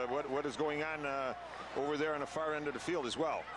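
A man talks fairly quickly while noticeable noise carries on in the background. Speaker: color commentator, soccer analyst. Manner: conversational, animated.

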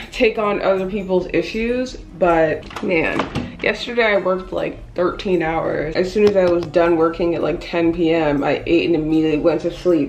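A woman speaks at a moderate pace and a fairly low pitch in an unremarkable speaking voice. Light background noise sits underneath. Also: ordinary pitch variation. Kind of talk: casual vlog chat. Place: home room. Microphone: phone near.

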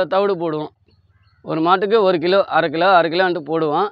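The man's voice comes through dry with no echo against a quiet background. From Tiruvallur district, Tamil Nadu; Tamil Nadu. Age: 40s. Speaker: dairy farmer. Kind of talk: interview. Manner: halting. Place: farm.

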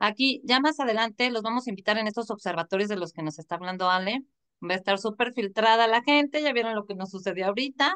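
A woman's bright, sharp voice at a fairly quick pace against a quiet background. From Mexico. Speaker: online show host. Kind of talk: interview. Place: home room. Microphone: video call.

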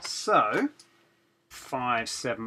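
A man talks at a medium pitch. His tone is bright and sharp.

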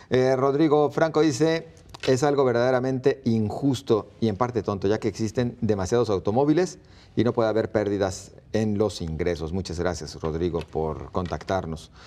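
Very wide pitch swings at a moderate pace. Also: man, medium pitch for a man. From Mexico. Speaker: TV show moderator. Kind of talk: moderating a debate. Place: studio. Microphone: lapel.

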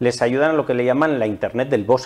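A man with an unremarkable speaking voice at a medium pitch. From Almazán, Soria, Spain; Soria, Spain. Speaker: forestry association manager. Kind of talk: TV interview. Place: studio. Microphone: lapel.

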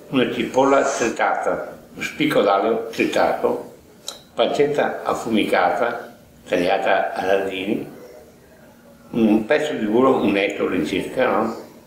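A man with a medium pitch speaks at a fairly slow pace with ordinary pitch variation and long, frequent pauses. Audible echo fills the room. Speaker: home cook. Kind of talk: recipe explanation. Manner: halting.

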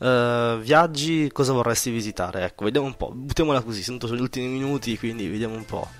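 A man at a fast pace with ordinary pitch variation. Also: medium pitch for a man.

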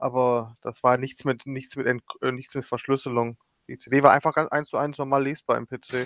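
A man talks at a medium pitch and a moderate pace. His intonation is monotone and flat, with a dry, close sound and no echo. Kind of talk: casual chat.

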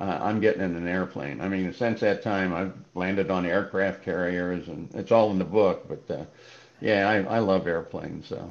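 Fairly even intonation in a man's very deep, low voice. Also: moderate pace. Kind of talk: interview answer. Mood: relaxed storytelling. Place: home room. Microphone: video call.

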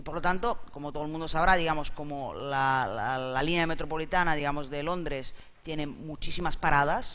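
Man with a fairly high pitch and a bright, sharp tone, ordinary pitch variation, big swings in loudness. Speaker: interpreter. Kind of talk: live interpreting summary. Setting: stage with audience. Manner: halting. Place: hall. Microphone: headset.

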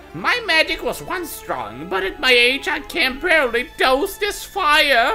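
A female-sounding put-on character voice with high pitch speaks at a fairly slow pace over clear music in the background.

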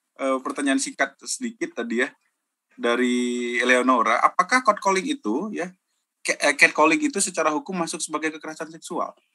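A man speaks at a moderate pace with very wide pitch swings. Faint music plays in the background. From Indonesia, Medan; Indonesia. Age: 30s. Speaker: university lecturer and moderator; university lecturer, moderator. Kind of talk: webinar moderation. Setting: video call. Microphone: video call.

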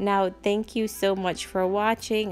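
Music plays in the background as a woman speaks at a fairly slow pace. Her intonation is monotone and flat. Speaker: home decor channel host. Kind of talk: casual vlog chat.

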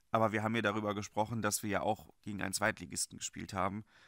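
A man with a fairly low pitch speaks in a bright, sharp tone, the sound dry and close with no echo and the recording very clean over a silent background. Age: 20s. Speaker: football fan channel host. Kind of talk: solo video commentary on a football transfer.

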